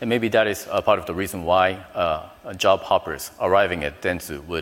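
A man speaks at a moderate pace with a Japanese accent. His pitch is very deep and low. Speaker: business development director. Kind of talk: panel discussion.

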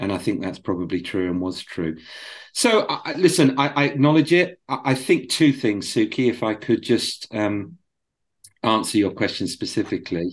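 A man with a British accent speaks at a moderate pace and medium pitch. His pitch swings very widely against a quiet background. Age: 50s. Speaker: former advertising agency CEO. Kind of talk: interview. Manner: halting, repeats words.

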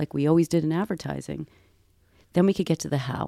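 A woman with an American accent at a fairly quick pace, in a very clean recording with a silent background. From US Northeast, Boston. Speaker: tech company creative strategist. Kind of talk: interview. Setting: studio.

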